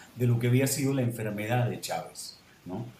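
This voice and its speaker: Speaking at a medium pitch, a man shows ordinary pitch variation. Room echo is audible, and there is noticeable background noise. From Venezuela. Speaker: novelist. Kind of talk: panel discussion.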